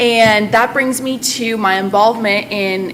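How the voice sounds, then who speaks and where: Noticeable background noise surrounds a woman with an American accent whose fairly high voice keeps a fairly even intonation. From central Massachusetts. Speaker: Spanish teacher. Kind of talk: presentation to a school committee.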